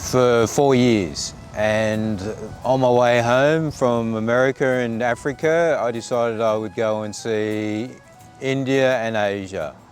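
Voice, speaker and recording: With an Australian accent, a man talks at a very slow pace and medium pitch, his fairly even intonation broken by long, frequent pauses against noticeable background noise. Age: 60s. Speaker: retired lawyer, traveller interviewed. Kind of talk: personal storytelling interview. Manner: halting, with fillers and restarts.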